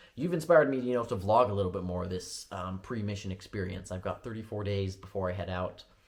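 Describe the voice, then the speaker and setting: A somewhat breathy man's voice, fairly low in pitch, at a very fast pace in a very clean recording with a silent background. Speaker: vlogger preparing for a church mission. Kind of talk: testimony vlog. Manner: rambling with frequent fillers.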